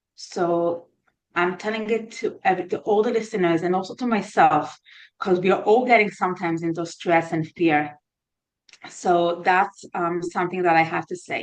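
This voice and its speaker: With an Israeli accent, a woman talks at a moderate pace and medium pitch, with ordinary pitch variation. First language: Hebrew. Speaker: therapist. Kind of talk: interview. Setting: podcast. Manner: halting.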